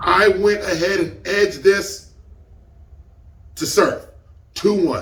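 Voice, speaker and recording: A man talks in an animated tone, with audible room echo around his words. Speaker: battle rap reviewer. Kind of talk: casual review commentary.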